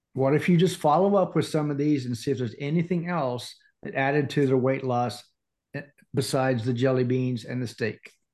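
A man talks at a fairly quick pace in an ordinary speaking voice. His pitch is medium, with ordinary pitch variation. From Indiana. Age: 50s. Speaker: life coach. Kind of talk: casual chat.

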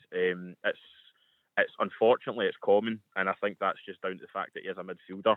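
In a Scottish accent, a man talks at a very fast pace. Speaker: football fan contributor. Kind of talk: radio sports talk.

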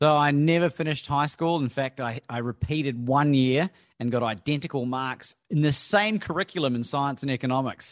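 A normal speaking voice with ordinary pitch variation, moving at a fairly quick pace with hardly any pauses. The sound is dry and close with no echo over a quiet background. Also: man, fairly high pitch for a man. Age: 40s. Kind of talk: interview.

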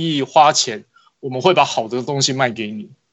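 A man with an ordinary speaking voice uses lively intonation and keeps a moderate pace. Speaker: basketball magazine editor. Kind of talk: casual chat.

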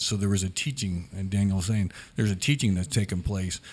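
Fairly low in pitch and fairly quick, a man with a plain, everyday voice speaks with fairly even intonation on a very clean recording with a silent background. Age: 60s. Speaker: church member, parent. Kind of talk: casual panel discussion. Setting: studio, around a table.

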